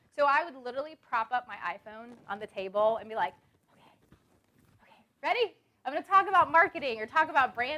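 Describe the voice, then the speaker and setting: Very fast speech in a raised, projected voice with a bright, sharp tone, very wide pitch swings, big swings in loudness and long, frequent pauses. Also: woman, high pitch for a woman. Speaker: branding speaker. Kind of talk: seminar talk. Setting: stage with audience.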